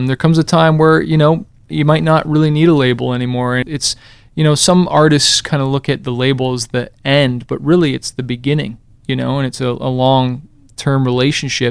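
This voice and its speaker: A man at a medium pitch, with an ordinary speaking voice, ordinary pitch variation and a fairly quick pace. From Canada. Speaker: musician. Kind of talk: interview. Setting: studio. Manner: casual.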